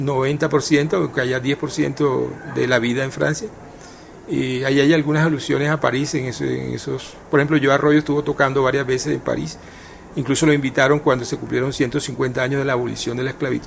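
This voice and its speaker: Rushing at a very fast pace, a man of medium pitch keeps a fairly even intonation over noticeable background noise. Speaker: writer and journalist. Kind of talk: radio interview. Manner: hesitant, many fillers and repetitions; tries to pronounce carefully, not clipped.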